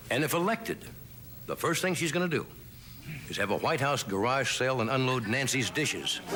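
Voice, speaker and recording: Against noticeable background noise, a man of medium pitch talks fairly quickly with lively intonation and long, frequent pauses. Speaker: late-night talk show host. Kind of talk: comedy monologue. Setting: TV studio with live audience.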